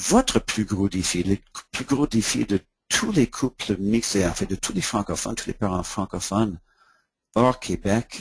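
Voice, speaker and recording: Somewhat breathy, a man with a fairly low pitch speaks with an English accent. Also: ordinary pitch variation, fairly slow pace. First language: English (speaking French). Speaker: education consultant and author. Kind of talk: webinar presentation. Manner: halting, repeats words.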